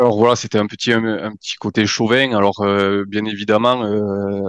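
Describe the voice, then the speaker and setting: A man speaks at a moderate pace with a Pyrenean accent and a fairly low pitch. The sound is dry and close with no echo, over a quiet background. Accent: Pyrenean southern French. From French Pyrenees. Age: 30s. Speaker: amateur trail runner, listener. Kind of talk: podcast interview. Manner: halting, many hesitations.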